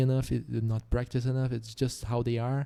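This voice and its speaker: This man has a slight Brazilian accent and a medium pitch. His tone is dark and mellow. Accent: slight Brazilian Portuguese accent, strong R. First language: Portuguese. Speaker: podcast host. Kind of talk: casual solo podcast monologue. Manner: halting, frequent repetitions.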